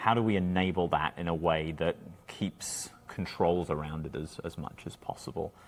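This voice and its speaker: A man with an American accent, very deep, low pitch, fairly even intonation and a moderate pace. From England. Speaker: cybersecurity leader. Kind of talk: podcast interview. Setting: conference venue.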